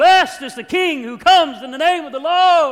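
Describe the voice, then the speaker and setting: In a put-on character voice, a man speaks with an extremely high pitch and a raised, projected delivery. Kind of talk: preacherly, elevated. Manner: loud, proclaiming.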